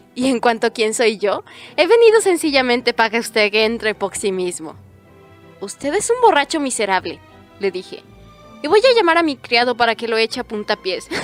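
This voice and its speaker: A woman's high voice with lively intonation at a moderate pace, dry and close with no echo, music in the background. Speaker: audiobook narrator. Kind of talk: audiobook narration.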